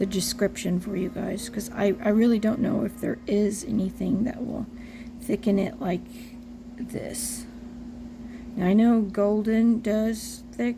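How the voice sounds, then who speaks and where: At a fairly slow pace, a woman speaks with a fairly high pitch and monotone, flat intonation over noticeable background noise. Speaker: reborn doll artist tutorial maker. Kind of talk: tutorial. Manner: casual, chatty with fillers.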